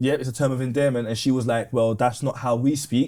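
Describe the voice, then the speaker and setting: A man talks fairly quickly at a medium pitch in a dark, mellow tone. His intonation stays monotone and flat. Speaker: podcast guest, retired gas engineer. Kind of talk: casual chat.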